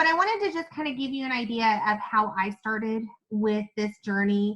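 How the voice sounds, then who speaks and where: Speaking with an American accent, a woman sounds animated at a fairly high pitch and a moderate pace. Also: ordinary pitch variation. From Kentucky (Owensboro). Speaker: network marketing presenter. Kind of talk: live webinar presentation. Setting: Zoom and Facebook live stream.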